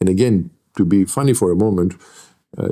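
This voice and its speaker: Captured on a very clean recording with a silent background, a man with a Greek accent speaks in a dark, mellow tone. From Greece. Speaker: lecturer and NLP trainer. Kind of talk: interview.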